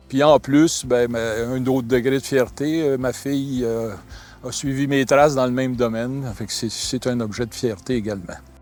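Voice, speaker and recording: The speaker talks at a moderate pace with ordinary pitch variation. Music plays in the background. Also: man. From Quebec, Laval. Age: 60s. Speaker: large-animal veterinarian. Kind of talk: interview testimony.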